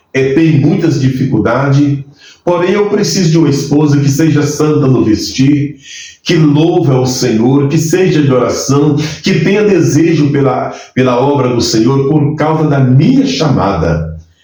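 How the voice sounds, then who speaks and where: Amid noticeable background noise and audible room echo, a man speaks at a fairly slow pace with very even loudness. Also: fairly high pitch for a man, ordinary pitch variation. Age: 60s. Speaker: pastor. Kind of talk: testimony.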